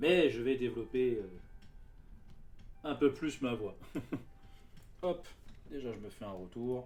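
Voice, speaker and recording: A very slow delivery with long, frequent pauses, big swings in loudness and ordinary pitch variation. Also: man, medium pitch for a man. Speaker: card game streamer. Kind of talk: live stream chat. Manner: soft-spoken.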